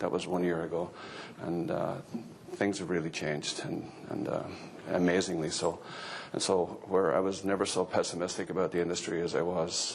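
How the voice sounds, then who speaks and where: A man with an Irish accent, very deep and low in pitch, at a fairly quick pace with flat, monotone intonation, plus audible room echo. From Ireland. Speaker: agricultural economist. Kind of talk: conference talk.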